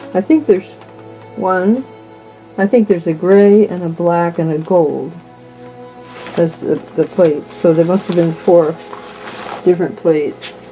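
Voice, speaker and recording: Faint music plays in the background as a woman with an American accent speaks at a fairly low pitch, leaving long, frequent pauses. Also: fairly even intonation, moderate pace. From California. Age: 90s. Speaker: artist, printmaker and ceramicist. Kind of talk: casual talk in her studio about her artwork. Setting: artist's studio. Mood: warm, fond. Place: workshop.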